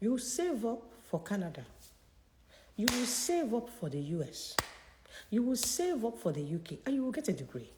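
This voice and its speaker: Her pitch runs fairly high and swings very widely. This woman keeps a moderate pace, broken by long, frequent pauses. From Nigeria. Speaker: career consultant. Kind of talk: live Q&A session. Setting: livestream. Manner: animated.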